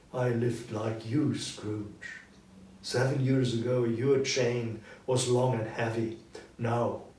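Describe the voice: Someone doing plain reading aloud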